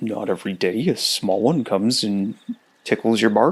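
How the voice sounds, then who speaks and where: A man puts on a rumbling character voice. He speaks at a medium pitch and a moderate pace. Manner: cheery, warm.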